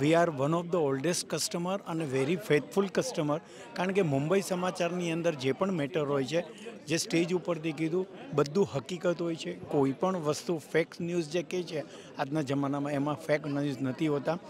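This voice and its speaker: Noticeable background noise surrounds a man with a fairly high pitch and ordinary pitch variation. The sound is dry, with no echo. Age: 70s. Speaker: longtime newspaper reader; guest, longtime newspaper reader. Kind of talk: vox pop interview; interview answer. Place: hall. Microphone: handheld.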